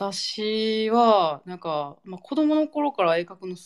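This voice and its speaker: The sound is close and dry, without any echo. The voice's pitch moves up and down very widely. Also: woman. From Nara, Japan. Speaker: podcast host. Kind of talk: casual chat.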